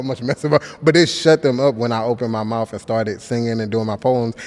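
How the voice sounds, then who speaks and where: Noticeable noise fills the background while a man talks very fast. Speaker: spoken word poet. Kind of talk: interview answer. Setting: studio interview. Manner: casual, conversational.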